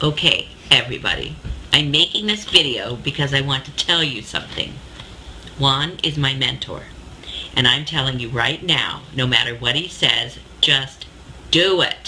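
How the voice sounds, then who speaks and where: Over noticeable background noise, a woman with a very deep, low pitch and ordinary pitch variation speaks at a moderate pace, leaving long, frequent pauses. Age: 60s. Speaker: customer testimonial giver. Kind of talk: testimony.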